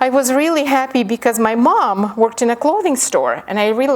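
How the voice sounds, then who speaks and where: With lively intonation, a woman talks at a fairly quick pace. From Ukraine. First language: Ukrainian. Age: 50. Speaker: professor. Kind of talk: lecture with reading aloud.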